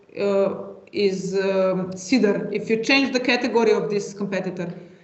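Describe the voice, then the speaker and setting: Moderate pace over noticeable background noise. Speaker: software trainer. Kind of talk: webinar tutorial. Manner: hesitant, many fillers.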